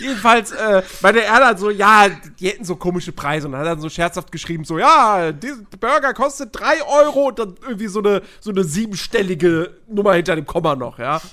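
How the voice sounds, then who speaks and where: Raised and projected, a man's high, bright, sharp voice moves at a fairly quick pace with very wide pitch swings and hardly any pauses. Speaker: podcast host. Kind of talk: casual chat.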